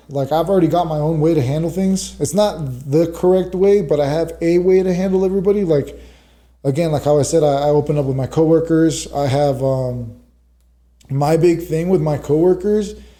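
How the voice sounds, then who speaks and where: The man's fairly high voice carries a dark, mellow tone and ordinary pitch variation. He keeps a moderate pace amid audible room echo. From Los Angeles, California. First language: Spanish. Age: 30s. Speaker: correctional officer and fighter. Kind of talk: casual podcast interview.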